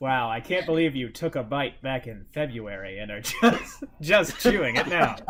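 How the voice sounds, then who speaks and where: A man's medium-pitched voice with big swings in loudness, lively intonation, a moderate pace and hardly any pauses, over noticeable background noise. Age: 20s. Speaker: dungeon master. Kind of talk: casual chat. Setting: live stream.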